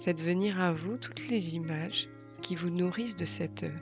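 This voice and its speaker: Music plays behind a woman as she talks. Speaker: meditation guide. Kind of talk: guided meditation. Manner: calm, soft-spoken, slow.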